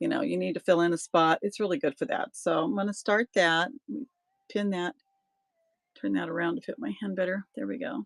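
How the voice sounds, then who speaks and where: A woman at a medium pitch talks at a fairly quick pace with very wide pitch swings and vocal fry, breaking often into long pauses, in a dry, close sound with no echo. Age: 60s. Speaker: online auction seller. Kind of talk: live sales stream. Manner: casual, chatty.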